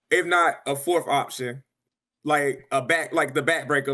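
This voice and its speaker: A man's animated, fairly high-pitched voice at a fairly quick pace, in a very clean recording with a silent background. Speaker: video game league player. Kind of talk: podcast interview. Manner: loud, animated.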